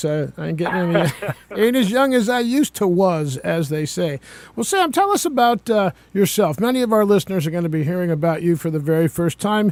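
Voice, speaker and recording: Noticeable background noise sits behind a man with a high pitch. He speaks at a fairly quick pace with lively intonation. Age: old. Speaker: radio host and retired musician. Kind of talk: radio interview. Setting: radio studio.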